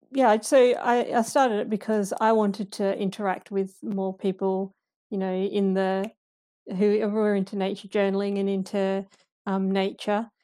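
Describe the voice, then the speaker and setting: In a very clean recording with a silent background, a woman with an Australian accent speaks in a dark, mellow tone with monotone, flat intonation. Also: medium pitch for a woman, moderate pace. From Western Australia, Perth suburbs. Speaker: nature journaling community founder. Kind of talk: casual interview chat. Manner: halting, many fillers and restarts.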